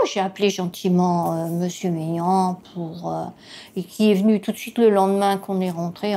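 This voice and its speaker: Speaking at a moderate pace, a woman has a medium pitch and a dark, mellow tone. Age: 70s. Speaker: caregiver spouse. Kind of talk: testimony. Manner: hesitant, many fillers.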